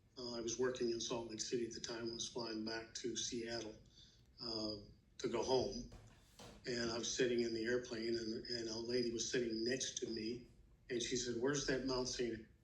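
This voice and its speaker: Amid audible room echo, a man speaks at a moderate pace in a somewhat breathy, medium-pitched voice with flat, monotone intonation. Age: 70s. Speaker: grandfather interviewed for school project. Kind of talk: interview. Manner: halting, many fillers.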